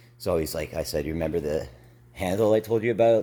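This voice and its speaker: The voice has vocal fry and a dark, mellow tone, with lively intonation. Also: man. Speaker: teacher running an after-school workshop. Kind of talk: casual video update. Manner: halting, many fillers.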